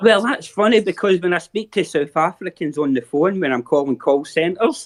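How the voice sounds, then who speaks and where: Speaking in a Scottish accent, a man uses a high pitch and lively intonation at a moderate pace. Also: quiet background. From Scotland. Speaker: viewer joining a watch-along chat. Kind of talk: casual chat.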